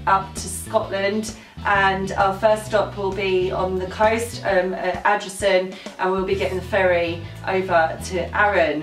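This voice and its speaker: Faint music plays in the background as a woman speaks at a fairly slow pace, with audible room echo. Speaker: travel vlogger. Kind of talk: casual vlog chat. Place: home room.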